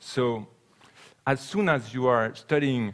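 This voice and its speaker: A man with a French accent and fairly even intonation. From France. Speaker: sailing cargo ship advocate. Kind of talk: conference talk and Q&A. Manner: halting.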